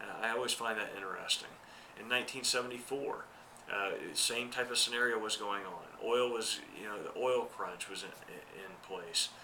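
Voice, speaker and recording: Audible room echo and noticeable background noise surround a man with a medium pitch. He speaks at a moderate pace with fairly even intonation and big swings in loudness. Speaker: accountant giving market commentary. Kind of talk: market commentary monologue. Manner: hesitant, many fillers.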